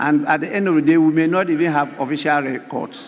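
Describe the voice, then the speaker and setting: Noticeable background noise sits under a man's fairly high voice as he talks at a moderate pace. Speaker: parliamentary speaker presiding. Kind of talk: parliamentary proceedings. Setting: parliament chamber. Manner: formal.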